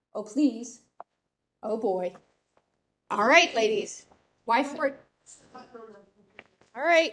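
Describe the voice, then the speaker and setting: Loud and high-pitched, a woman speaks at a very slow pace with lively intonation and long, frequent pauses. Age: 50s. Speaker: master gardener giving a talk. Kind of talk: lecture. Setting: hybrid meeting room with live audience and webcast.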